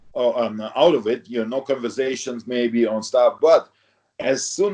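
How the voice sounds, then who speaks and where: A man speaks with a non-native accent at a moderate pace. His tone is dark and mellow, with ordinary pitch variation. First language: not English. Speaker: retired professional bodybuilder. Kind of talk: interview. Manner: halting, many fillers.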